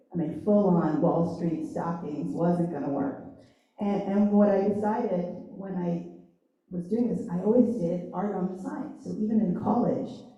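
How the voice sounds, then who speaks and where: At a medium pitch, a woman speaks in an animated tone with lively intonation and a moderate pace, with audible room echo. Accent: American. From Long Island, New York. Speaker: designer, agency founder. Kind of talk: career panel talk. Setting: panel event with audience.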